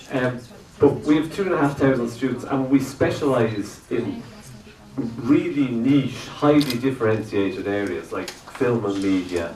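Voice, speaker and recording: Amid noticeable background noise and audible room echo, a man with an Irish accent speaks at a moderate pace and medium pitch with lively intonation. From Ireland. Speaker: lecturer and animator. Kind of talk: workshop lecture. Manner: loud; halting, many fillers. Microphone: no microphone.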